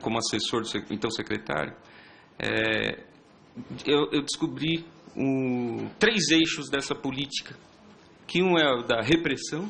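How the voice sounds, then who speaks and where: A man's voice with lively intonation. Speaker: police intelligence officer. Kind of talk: public hearing presentation. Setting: public hearing with audience.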